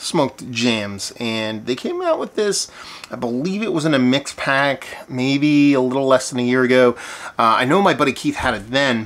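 Ordinary pitch variation from a man speaking at a moderate pace. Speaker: beer reviewer. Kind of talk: casual vlog chat. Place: home room. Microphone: phone near.

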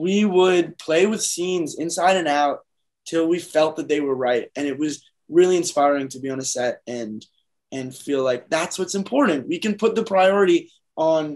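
With a quiet background behind it, the talking proceeds at a moderate pace. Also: man, high pitch for a man, ordinary pitch variation. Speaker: actor interviewed remotely. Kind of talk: interview answer. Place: home room. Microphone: video call.

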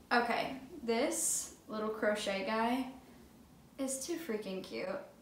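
A woman talks at a very slow pace in a fairly high pitch with ordinary pitch variation. Noticeable background noise is present. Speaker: vintage clothing reseller. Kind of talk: casual talk to camera. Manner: upbeat.

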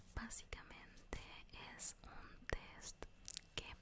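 Noticeable background noise is present. Very slowly, a woman whispers. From Argentina. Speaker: ASMR creator. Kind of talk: ASMR roleplay with gameplay, role-played medical exam. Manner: soft-spoken, whispering, slow.

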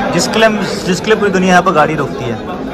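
A man with ordinary pitch variation, crowd noise behind him. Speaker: travel vlogger. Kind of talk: casual vlog chat. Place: cafe. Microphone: phone near.

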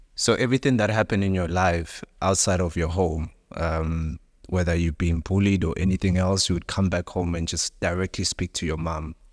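At a moderate pace, a man with a very deep, low pitch speaks with fairly even intonation against a quiet background. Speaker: podcast host. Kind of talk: interview. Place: studio. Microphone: studio mic.

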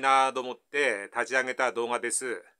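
A man with a Tohoku accent talks at a fairly slow pace in a bright, sharp tone. The background is quiet. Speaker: math tutor. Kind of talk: casual math lesson explanation. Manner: casual, folksy. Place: home room. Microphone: camera far.

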